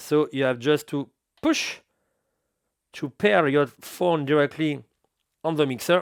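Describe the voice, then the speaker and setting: Speaking in a French accent with fairly even intonation and long, frequent pauses, a man is heard in a very clean recording with a silent background and dry, close sound with no echo. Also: fairly slow pace. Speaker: DJ equipment reviewer. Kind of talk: product review tutorial. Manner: halting.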